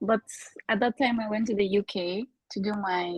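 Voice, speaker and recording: A woman's somewhat breathy, fairly high voice with a Bulgarian accent at a moderate pace, in a dry, close sound with no echo. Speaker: podcast guest, former student in Korea. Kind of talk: casual chat.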